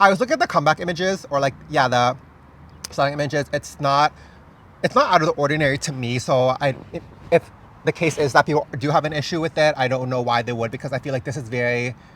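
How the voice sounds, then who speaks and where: Animated and very fast, a man talks at a fairly high pitch. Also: ordinary pitch variation. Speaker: K-pop fashion content creator. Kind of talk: casual chat.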